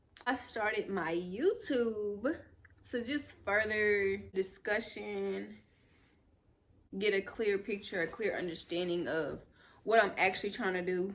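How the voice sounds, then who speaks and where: Speaking at a fairly slow pace with long, frequent pauses, a woman with an American accent uses a medium pitch and ordinary pitch variation. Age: 20s. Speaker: YouTuber, lifestyle vlogger. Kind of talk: casual vlog talk to camera. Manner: conversational, with fillers and restarts.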